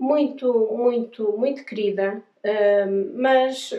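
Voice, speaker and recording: This speaker talks with a European Portuguese accent and ordinary pitch variation. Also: woman. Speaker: travel vlogger, pilgrim. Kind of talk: casual storytelling to camera. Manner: hesitant, many fillers and repetitions.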